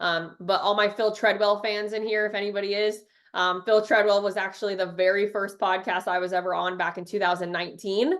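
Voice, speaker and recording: A woman's energetic, fairly quick delivery in a slight Tennessee accent, over a quiet background. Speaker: social media marketing trainer. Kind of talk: webinar presentation. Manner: fast.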